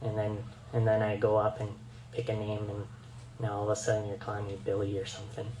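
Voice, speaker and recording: A man's medium-pitched voice at a moderate pace. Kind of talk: presentation. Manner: halting, many fillers.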